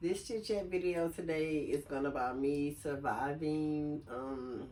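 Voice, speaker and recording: The voice has a dark, mellow tone, moving at a fairly slow pace with ordinary pitch variation. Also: woman, very deep, low pitch for a woman. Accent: American. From US South, Lake Charles, Louisiana. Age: 40s. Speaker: video blogger. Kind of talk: casual chat. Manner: casual, many filler sounds.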